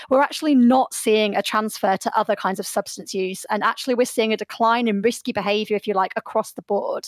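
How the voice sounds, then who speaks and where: Dry and close with no echo, a woman's fairly high voice moves at a fairly quick pace with ordinary pitch variation. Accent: British. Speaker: sociologist. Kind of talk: radio interview. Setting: remote studio link.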